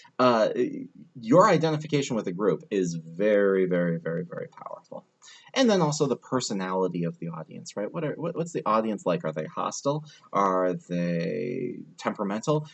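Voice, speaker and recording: A man speaks with a fairly low pitch at a moderate pace. His pitch swings very widely. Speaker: college lecturer. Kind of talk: recorded lecture. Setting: airport.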